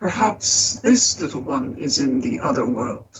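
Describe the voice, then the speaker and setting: In a put-on character voice, the speaker talks fairly slowly at a low-to-middle pitch. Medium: read story. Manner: measured, muttering to himself.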